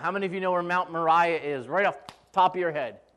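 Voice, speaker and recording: Raised and projected, a man's voice has a bright, sharp tone. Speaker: pastor. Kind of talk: sermon. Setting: church. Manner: casual, joking.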